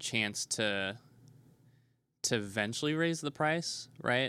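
The man's tone is bright and sharp, with an American accent. The recording is very clean, with a silent background. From Nebraska. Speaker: game store owner. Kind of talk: interview. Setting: in a game store.

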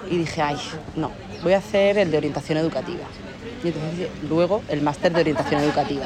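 In a Valencian accent, a woman speaks at a very fast pace with a very deep, low pitch and long, frequent pauses, with audible room echo and crowd noise in the background. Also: ordinary pitch variation. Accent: Alicante. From Spain, Alicante (Torrevieja). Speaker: psychologist. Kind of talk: interview conversation.

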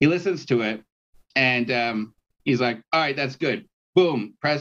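A normal speaking voice, moderate in pace, ordinary pitch variation throughout. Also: man. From Canada, Toronto. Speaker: musician. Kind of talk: casual chat. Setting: video call.

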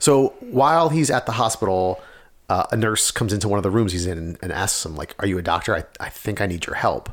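Going at a very fast pace, a man speaks at a fairly low pitch with lively intonation. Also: very clean recording, silent background. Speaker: podcast host. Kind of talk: casual chat. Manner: fast talker.

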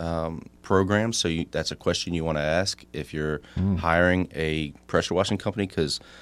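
A man with a Southern US accent speaks at a moderate pace in a very deep, low voice, his intonation fairly even. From coastal South Carolina. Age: 30s. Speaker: pressure washing business owner and realtor. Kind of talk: casual radio interview.

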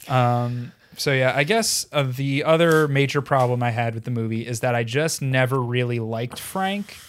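A man's plain, everyday voice at medium pitch, with ordinary pitch variation, a moderate pace and hardly any pauses. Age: young. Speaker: podcast co-host. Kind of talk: casual chat.

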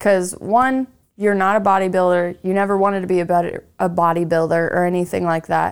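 A woman's plain, everyday voice at medium pitch, fairly quick in pace, with very even loudness and fairly even intonation, in a very clean recording with a silent background. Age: 30s. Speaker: podcast host. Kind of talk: casual chat. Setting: studio.

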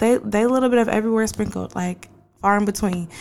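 On a very clean recording with a silent background, a woman with an American accent speaks in a normal speaking voice at medium pitch with ordinary pitch variation. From Portland, Oregon. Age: adult. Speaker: podcast host. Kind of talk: casual podcast monologue.

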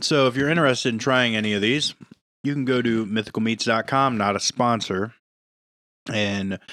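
A man with an ordinary speaking voice keeps to medium pitch, ordinary pitch variation and a moderate pace. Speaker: podcast co-host. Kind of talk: casual banter podcast. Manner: playful, joking.

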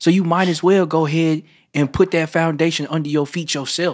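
On a very clean recording with a silent background, a man talks at a fairly quick pace in a high pitch. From Memphis, Tennessee. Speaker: rapper. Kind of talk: casual chat.

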